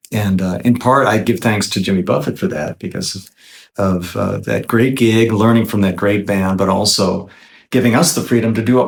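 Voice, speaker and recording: Pitched fairly low with ordinary variation, a man talks at a fairly quick pace in an ordinary speaking voice. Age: 60s. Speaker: guitarist and singer-songwriter. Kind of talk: interview.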